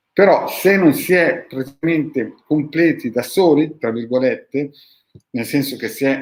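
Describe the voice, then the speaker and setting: A man with ordinary pitch variation. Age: 50s. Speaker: esoteric practitioner, channel host. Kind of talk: video monologue answering followers' questions. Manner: animated.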